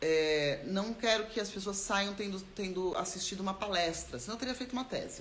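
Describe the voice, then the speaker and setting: Lively intonation marks this woman's medium-pitched voice, heard with audible room echo and noticeable background noise. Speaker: actor and theatre maker. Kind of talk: live stream talk about creative process. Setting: live stream. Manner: fast.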